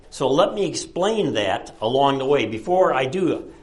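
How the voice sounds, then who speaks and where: A man with a fairly high pitch, lively intonation and a fairly slow pace amid audible room echo. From Chicago. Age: 70s. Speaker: retired professor and author. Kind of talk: lecture. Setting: presentation to an audience at a library.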